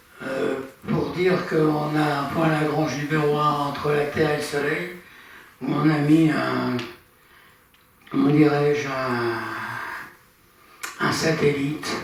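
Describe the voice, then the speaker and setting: A man's fairly high voice, flat and monotone, at a very slow pace with long, frequent pauses, audible room echo and noticeable background noise. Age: 80s+. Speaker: amateur astronomy speaker. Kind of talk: lecture. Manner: halting.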